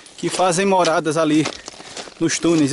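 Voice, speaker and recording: Over light background noise, a man talks at a moderate pace with fairly even intonation in a dry sound with no echo. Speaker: hiking trail guide. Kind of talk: casual vlog commentary. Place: open country. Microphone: phone near.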